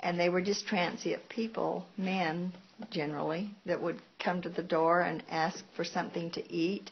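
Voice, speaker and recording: In an American accent, a woman speaks fairly slowly with a fairly low, somewhat breathy voice and fairly even intonation. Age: 70s. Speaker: grandmother being interviewed. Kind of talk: casual interview.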